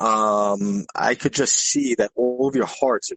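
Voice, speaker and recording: A man mumbles at a medium pitch with ordinary pitch variation while music plays in the background. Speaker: crypto newcomer learning from expert. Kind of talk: casual chat. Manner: mumbling.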